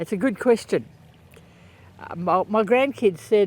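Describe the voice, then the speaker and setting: Speaking with a strong Australian accent, a man uses a high pitch and lively intonation. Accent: broad Australian. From rural Queensland, Australia. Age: 70s. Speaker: podcaster. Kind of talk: casual monologue. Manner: halting, many fillers.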